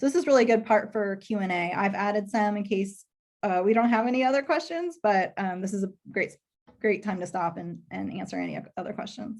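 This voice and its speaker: The speaker has a slight Texas accent. The intonation is lively. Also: woman, medium pitch for a woman. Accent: slight Texas twang. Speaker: public relations professional. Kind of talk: career talk to students.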